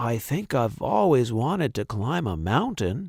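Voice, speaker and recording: A man uses a put-on character voice at medium pitch and a moderate pace. The recording is very clean, with a silent background. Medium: read story. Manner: wondering, gentle.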